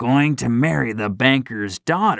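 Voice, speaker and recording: A man does a raspy, put-on character voice with lively intonation. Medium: read story.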